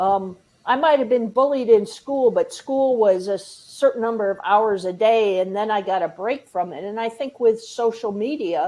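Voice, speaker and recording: Hardly pausing at all, a woman talks at a moderate pace in a normal speaking voice. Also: fairly high pitch for a woman, ordinary pitch variation. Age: 60s. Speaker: suicide prevention trainer. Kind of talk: online training presentation. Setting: livestream.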